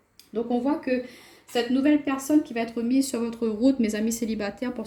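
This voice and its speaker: A woman speaks at a very fast pace in a fairly high voice. Noticeable background noise is present. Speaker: tarot card reader. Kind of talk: tarot reading.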